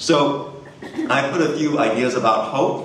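Audible room echo follows a man as he speaks. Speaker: Unitarian Universalist minister giving a guest sermon. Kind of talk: sermon delivered to a congregation. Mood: warm, lightly humorous. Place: stage.

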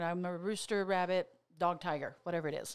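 A woman talks at a fairly quick pace in an American accent. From Oklahoma. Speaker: motivational speaker and therapist; motivational speaker. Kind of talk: casual chat. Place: studio. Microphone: studio mic.

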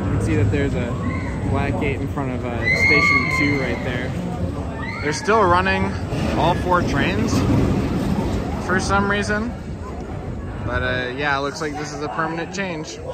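The speech comes at a fairly slow pace, broken by long, frequent pauses. The sound is dry with no echo, and a crowd can be heard in the background. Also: man. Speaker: park visitor vlogger. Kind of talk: casual vlog commentary. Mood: mildly wry, upbeat. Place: street. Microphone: phone near.

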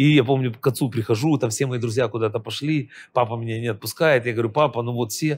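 Rattling along at a very fast pace, a man speaks at medium pitch with ordinary pitch variation. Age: 50s. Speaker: professional trader and trading educator; trading educator. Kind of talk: interview. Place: studio. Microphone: lapel.

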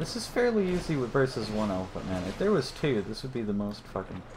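Lively in intonation, a man speaks very fast against noticeable background noise. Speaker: gaming streamer. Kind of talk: let's play commentary. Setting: livestream with friends on voice chat. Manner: casual, swears freely.

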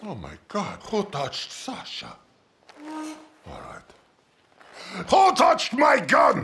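Putting on a raspy, menacing character voice at an extremely high pitch, a man speaks at a very slow pace with long, frequent pauses. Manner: proud, menacing.

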